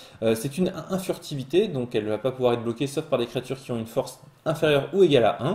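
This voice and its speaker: Somewhat breathy and dark, mellow in tone, a man speaks at a medium pitch and a very fast pace with lively intonation. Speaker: Magic card game podcast host. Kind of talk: solo card spoiler review. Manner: hesitant with fillers.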